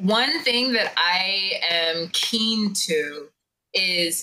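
Speaking at a medium pitch, a woman with an American accent has a bright, sharp tone. Her pitch moves in an ordinary way. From Jamaican American. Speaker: podcast co-host. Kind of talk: casual chat.

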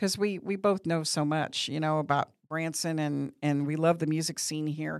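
Speaking with an American accent at a moderate pace, the voice has fairly even intonation and hardly any pauses, on a very clean recording with a silent background. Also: woman, very deep, low pitch for a woman. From Missouri. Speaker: media company owner and talk show host. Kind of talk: casual chat.

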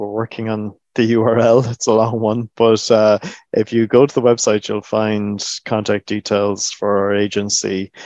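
A man with an Irish accent talks at a fairly low pitch and a fairly slow pace, in a monotone, flat delivery. The sound is dry and close with no echo, over a quiet background. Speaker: government agency chief executive. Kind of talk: interview.

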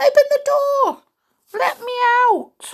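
Shouting in a put-on character voice, someone squeaks out words at an extremely high pitch.

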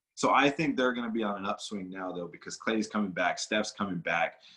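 A plain, everyday voice from a man with an American accent, fairly low in pitch and at a fairly quick pace. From Los Angeles, California. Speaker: professional wrestler. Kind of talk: casual interview chat.

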